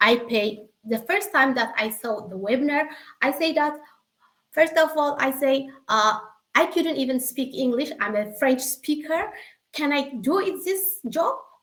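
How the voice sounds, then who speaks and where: A woman with an Eritrean accent speaks at a fairly slow pace in a high pitch, her intonation lively. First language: Tigrinya. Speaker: secretary and online business member. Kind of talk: testimony. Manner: emotional.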